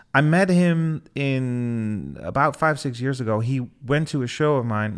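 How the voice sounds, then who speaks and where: There's lively intonation in this man's speech. The recording is very clean, with a silent background. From Netherlands, Twente (Almelo). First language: Dutch. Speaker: DJ and music producer. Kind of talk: interview.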